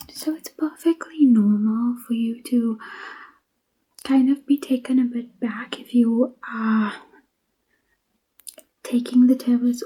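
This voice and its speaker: The voice is soft-spoken and gentle in tone. It moves at a very slow pace with long, frequent pauses. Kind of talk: ASMR pharmacist roleplay, soft-spoken. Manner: soft-spoken, gentle, friendly.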